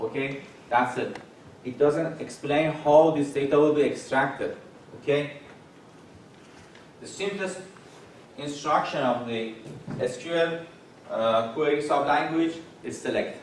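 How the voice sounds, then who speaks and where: A man with a fairly high pitch talks at a fairly slow pace in fairly even intonation, leaving long, frequent pauses. Audible room echo and noticeable background noise fill the recording. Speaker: professor. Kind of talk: lecture. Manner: halting.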